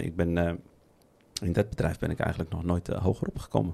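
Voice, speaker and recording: This man has a dark, mellow tone and a very deep, low pitch. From Netherlands, Moroccan family. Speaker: podcast host. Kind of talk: casual chat. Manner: halting.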